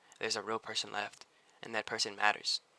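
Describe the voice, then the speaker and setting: A man speaks at a very fast pace. His pitch is fairly low, and his tone is bright and sharp. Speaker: small YouTuber giving self-help advice. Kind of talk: motivational talk to camera. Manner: occasional stutter; casual, conversational with filler words.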